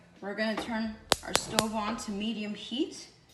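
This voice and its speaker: Over noticeable background noise and audible room echo, a woman speaks with a fairly high pitch. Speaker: cooking channel host, chef. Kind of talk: cooking tutorial.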